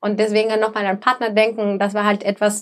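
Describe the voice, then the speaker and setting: A woman with a Spanish accent speaks in a fairly high voice. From El Salvador. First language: Spanish (speaking German). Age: 20s. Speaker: sustainability manager. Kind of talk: podcast interview.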